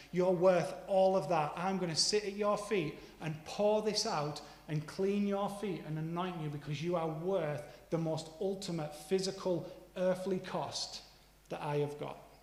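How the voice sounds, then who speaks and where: Amid noticeable background noise and audible room echo, a man talks fairly slowly at a high pitch with fairly even intonation. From northeastern England, Middlesbrough. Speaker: preacher. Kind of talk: sermon.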